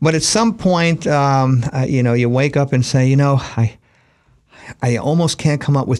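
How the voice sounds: Speaking in an American accent, a man keeps a medium pitch, a moderate pace, ordinary pitch variation and a slightly mellow tone.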